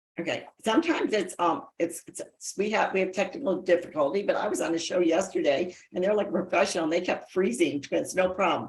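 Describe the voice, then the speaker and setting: Over music in the background, a woman talks at a moderate pace in an animated tone with lively intonation. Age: 60s. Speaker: talk show host. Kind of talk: interview. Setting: video call.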